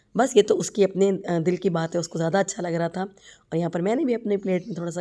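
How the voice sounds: A woman's voice sits fairly low in pitch, with a dark, mellow tone.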